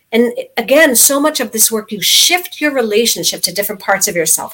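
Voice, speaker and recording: In a normal speaking voice, a woman with an American accent talks at a moderate pace, her pitch fairly high and her intonation lively. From US, New York City. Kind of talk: interview.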